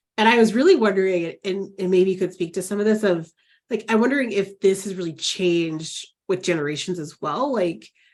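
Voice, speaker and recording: Speaking at a fairly quick pace with ordinary pitch variation, a woman with an unremarkable speaking voice at medium pitch is heard on a very clean recording with a silent background. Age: 40s. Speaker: counselor educator, podcast host. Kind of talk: podcast interview. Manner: casual, filler-heavy.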